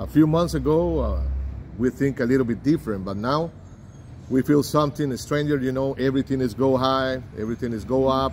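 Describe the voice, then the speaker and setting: A man talks at a fairly quick pace with a Spanish accent. His pitch is medium, with ordinary pitch variation. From Costa Rica. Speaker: immigrant lawyer. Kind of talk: street interview. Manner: halting.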